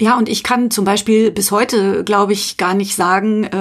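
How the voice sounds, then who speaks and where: Flat, monotone intonation marks this woman's medium-pitched speech, delivered at a moderate pace. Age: middle-aged. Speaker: podcast co-host. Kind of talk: personal testimony.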